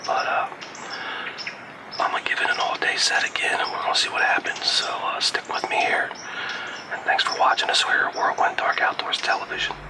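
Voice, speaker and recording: A man whispers at a fairly quick pace, with long, frequent pauses. Noticeable background noise runs underneath. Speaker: hunting show pro-staffer. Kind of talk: hunting video self-narration. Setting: outdoors in a tree stand. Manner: casual, with filler words.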